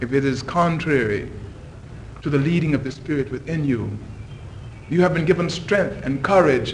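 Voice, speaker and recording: A man's fairly high voice at a moderate pace, with ordinary pitch variation, long, frequent pauses, and noticeable background noise. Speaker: poet, scholar and civil servant; religious follower giving a guest talk. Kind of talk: guest lecture to university class.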